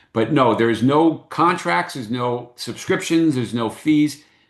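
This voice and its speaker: This man talks at a fairly quick pace with lively intonation. The background is quiet. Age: 60s. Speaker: business owner presenting a workshop. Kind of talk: online workshop presentation. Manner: halting, many fillers and repeated words.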